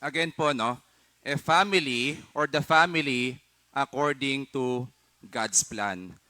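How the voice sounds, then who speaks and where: A man with a fairly high pitch speaks at a very slow pace in a bright, sharp tone. His pitch varies in an ordinary way, on a very clean recording with a silent background. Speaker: pastor. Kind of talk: sermon. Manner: formal.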